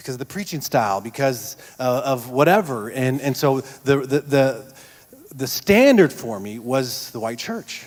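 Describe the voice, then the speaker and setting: A fairly slow pace with ordinary pitch variation and big swings in loudness. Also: man, medium pitch for a man. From Texas, El Paso. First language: Spanish. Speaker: church panelist. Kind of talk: panel discussion testimony.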